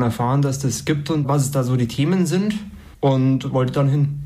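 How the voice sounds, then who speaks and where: Somewhat breathy and dark, mellow in tone, a man speaks at a moderate pace and medium pitch with fairly even intonation, amid audible room echo. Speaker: university student. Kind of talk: interview.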